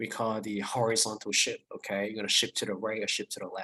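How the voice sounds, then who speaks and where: A bright, sharp tone with a dry, close sound and no echo. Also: man. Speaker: math instructor. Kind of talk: lecture. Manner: halting, many fillers and restarts.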